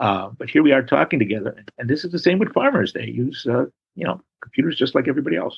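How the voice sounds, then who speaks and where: Speaking at a very fast pace, a man with a Chicago accent uses a medium pitch with vocal fry. His pitch swings very widely. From Chicago, South Side. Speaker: historian and author. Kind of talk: interview. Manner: halting.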